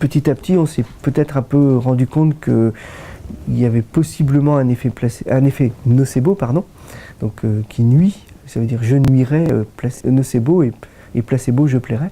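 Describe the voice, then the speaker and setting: A man speaks at a medium pitch and moderate pace. His pitch varies in an ordinary way. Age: 60s. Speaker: doctor, rheumatologist. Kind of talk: interview. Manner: hesitant, many fillers.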